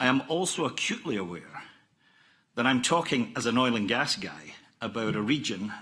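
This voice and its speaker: A man with a Scottish accent and ordinary pitch variation is heard on a very clean recording with a silent background. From Scotland. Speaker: oil company executive. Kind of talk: conference presentation. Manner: formal.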